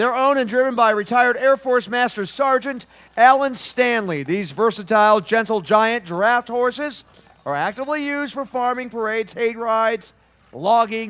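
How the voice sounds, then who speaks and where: In an American accent, a man speaks at an extremely high pitch with a bright, sharp tone and ordinary pitch variation. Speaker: parade announcer. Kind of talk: live commentary. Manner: animated.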